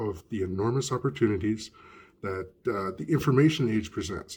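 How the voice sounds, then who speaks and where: A somewhat breathy man at a medium pitch, with lively intonation and a moderate pace, on a very clean recording with a silent background. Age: 50s. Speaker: podcast host. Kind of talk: reading aloud.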